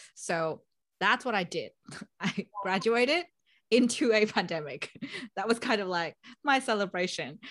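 A woman with a Vietnamese accent, ordinary pitch variation and a moderate pace, on a very clean recording with a silent background. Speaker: project manager, podcast host. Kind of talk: casual interview conversation.

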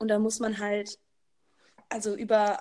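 The woman speaks at a fairly slow pace. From Baden-Württemberg, Germany. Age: 20s. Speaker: social pedagogue, recent graduate. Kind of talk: casual chat. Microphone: too quiet.

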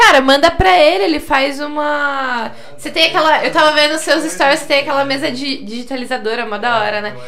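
Over noticeable background noise and audible room echo, a woman talks at a high pitch with hardly any pauses. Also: ordinary pitch variation, fairly quick pace. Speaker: podcast host. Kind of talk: casual chat.

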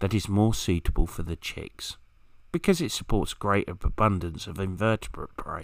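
In a southern English accent, a man speaks at a moderate pace with a fairly low pitch and ordinary pitch variation. The recording is very clean, with a silent background. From southern England, Kent. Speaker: wild bird expert. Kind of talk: scripted narration.

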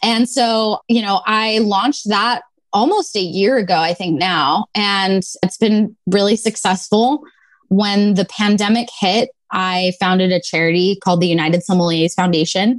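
A woman speaks in an unremarkable speaking voice at medium pitch. Her loudness stays very even, with a moderate pace and ordinary pitch variation. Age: 20s. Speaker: sommelier. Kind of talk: casual interview.

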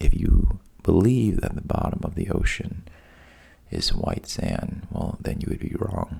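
A man speaks in a calm tone at a fairly slow pace. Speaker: sleep podcast host, storyteller. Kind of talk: bedtime storytelling. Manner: deliberately boring, monotone; slow, calm.

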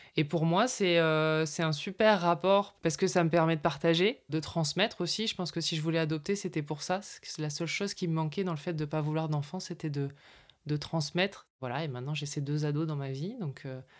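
On a very clean recording with a silent background, a woman with a very deep, low pitch talks at a moderate pace with ordinary pitch variation. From northern France. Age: 40s. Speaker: communication consultant and podcast producer. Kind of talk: personal testimony.

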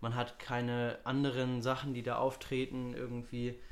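At a medium pitch, a man talks at a moderate pace. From Hamburg, northern Germany. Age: young. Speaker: student podcast co-host. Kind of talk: casual chat.

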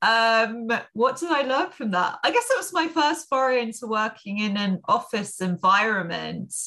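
Speaking at a moderate pace with hardly any pauses, a woman with a London accent has a bright, sharp tone and very wide pitch swings. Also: fairly high pitch for a woman. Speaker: business coach and entrepreneur. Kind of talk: interview.

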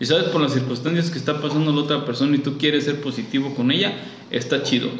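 Amid noticeable background noise and audible room echo, a man talks in a fairly high pitch. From Guanajuato, central Mexico. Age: 30s. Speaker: childhood friend of host. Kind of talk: casual chat.

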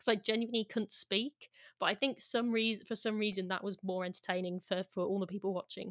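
In a very clean recording with a silent background and a dry, close sound with no echo, a woman of medium pitch uses an ordinary speaking voice, with fairly even intonation at a fairly quick pace. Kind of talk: casual podcast interview.

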